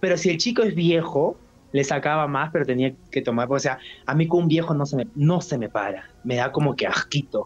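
Someone with a Peruvian accent talks at a fairly quick pace over noticeable background noise. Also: man. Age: 20s. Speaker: adult content creator. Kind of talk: interview.

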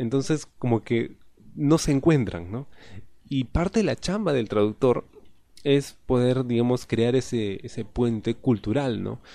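At a fairly slow pace, this voice has a dark, mellow tone and ordinary pitch variation. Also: man, medium pitch for a man. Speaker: podcast host. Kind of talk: casual monologue.

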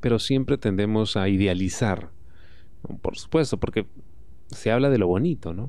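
A man's fairly low, dark, mellow voice at a moderate pace, with ordinary pitch variation and long, frequent pauses. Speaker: podcast host. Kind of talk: solo podcast monologue. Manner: casual, frequent filler.

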